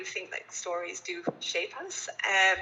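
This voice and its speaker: Someone with an English accent speaks with ordinary pitch variation over noticeable background noise. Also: woman. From England, rural village near Cambridge. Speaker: philanthropy advisor. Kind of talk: interview. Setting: video call.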